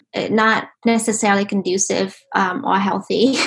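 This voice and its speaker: Somewhat breathy and with an American accent, a woman speaks at a medium pitch with fairly even intonation. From Vietnam (Ho Chi Minh City), then Singapore and US. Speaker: novelist. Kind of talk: interview conversation. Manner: hesitant, many fillers.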